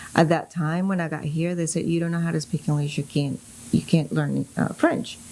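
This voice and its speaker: In a Spanish accent, a woman speaks at a moderate pace and a fairly low pitch, her tone dark and mellow and her intonation monotone and flat. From Colombia. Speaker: real estate broker. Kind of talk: casual interview chat.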